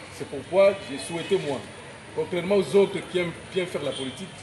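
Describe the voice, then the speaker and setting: Noticeable background noise sits under speech with fairly even intonation at a moderate pace. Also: man. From DR Congo, Kisangani. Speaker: school founder. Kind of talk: inaugural speech. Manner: halting.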